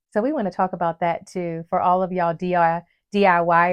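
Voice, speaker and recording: Fairly low in pitch, a woman talks in a plain, everyday voice with an American accent. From West Virginia. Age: 40s. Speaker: podcast co-host. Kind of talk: casual chat.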